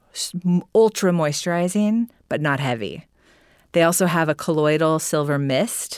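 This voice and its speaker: A woman uses an ordinary speaking voice, with a fairly low pitch. She speaks at a fairly slow pace on a very clean recording with a silent background. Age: 40s. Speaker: beauty business founder. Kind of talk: casual chat.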